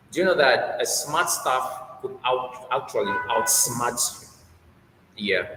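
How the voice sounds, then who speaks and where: Audible room echo and noticeable background noise surround a man speaking at a very slow pace. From Nigeria. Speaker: HR manager and researcher. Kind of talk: interview.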